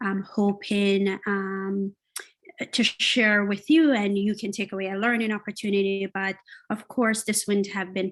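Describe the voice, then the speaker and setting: Speaking with a Jamaican accent, a woman keeps a medium pitch, fairly even intonation and a fairly slow pace. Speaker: workshop facilitator and business owner. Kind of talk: online workshop presentation. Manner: halting, many filler sounds.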